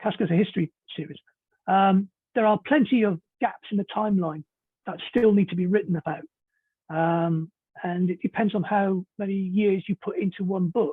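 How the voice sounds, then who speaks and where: At a moderate pace with long, frequent pauses, a man speaks in a British accent at a high pitch with ordinary pitch variation. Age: 60s. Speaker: novelist. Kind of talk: interview.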